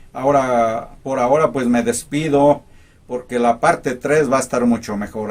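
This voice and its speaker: Medium in pitch and fairly slow, this man's delivery has monotone, flat intonation. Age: 60s. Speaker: motivational vlogger, former teacher. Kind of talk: personal life story. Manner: halting, with fillers.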